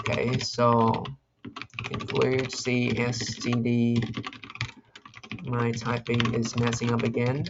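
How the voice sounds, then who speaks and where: A man talks very slowly at a medium pitch, flat and monotone, with long, frequent pauses. His loudness stays very even, and the room echo is audible. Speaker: competitive programming video creator. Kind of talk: screen-recorded coding tutorial, thinking aloud. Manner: halting, self-correcting; casual.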